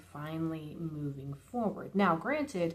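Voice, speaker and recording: A woman speaks in a somewhat breathy voice at a fairly low pitch. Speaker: tarot reader. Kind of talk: tarot reading. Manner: soft-spoken.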